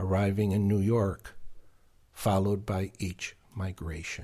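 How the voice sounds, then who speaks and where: A man's somewhat breathy, fairly low-pitched voice with a dark, mellow tone, in a very clean recording with a silent background. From Argentina. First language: Spanish. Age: 70s. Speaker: author and podcast creator. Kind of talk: interview.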